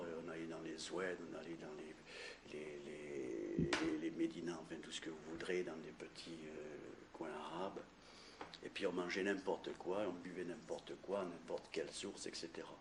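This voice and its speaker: A man with a very deep, low pitch, fairly slow and fairly even, with audible room echo. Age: 60s. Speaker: cancer survivor giving testimony. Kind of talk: testimony. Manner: halting.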